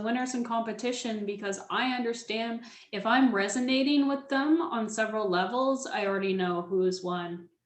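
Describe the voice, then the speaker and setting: A woman speaks with a fairly high pitch and ordinary pitch variation. Audible room echo colors the recording. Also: hardly any pauses. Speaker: public speaking coach. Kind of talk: webinar presentation. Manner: speeds up when excited; slows down to repeat key points.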